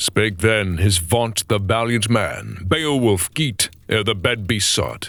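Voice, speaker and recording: A man talks at a fairly slow pace with vocal fry. His pitch is fairly low, with ordinary variation. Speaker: voice actor. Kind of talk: audiobook narration of epic poetry.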